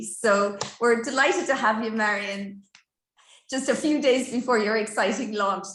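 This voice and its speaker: A woman with a fairly high pitch uses an ordinary speaking voice with ordinary pitch variation. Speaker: library host. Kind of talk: interview introduction.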